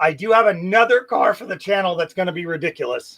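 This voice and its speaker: This man's voice is high-pitched with a bright, sharp tone, moving at a fairly quick pace with ordinary pitch variation. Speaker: car restoration youtuber. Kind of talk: casual livestream chat. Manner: stutters, hesitant fillers.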